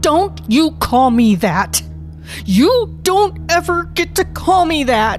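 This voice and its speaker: Music is clearly heard in the background. Over it, a put-on character voice drags along at a very slow pace. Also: female-sounding voice. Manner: angry, hurt.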